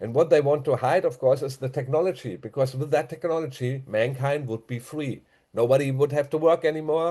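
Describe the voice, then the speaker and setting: Speaking with a German accent, a man uses a fairly high, somewhat breathy voice with a dark, mellow tone and fairly even intonation. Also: quiet background. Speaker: conspiracy commentator. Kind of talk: casual monologue. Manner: halting.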